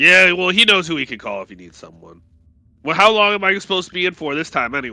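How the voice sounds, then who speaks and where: Using a put-on character voice, a man speaks at a very fast pace in a raised, projected voice with a high pitch. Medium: actual play. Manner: hearty, cocky.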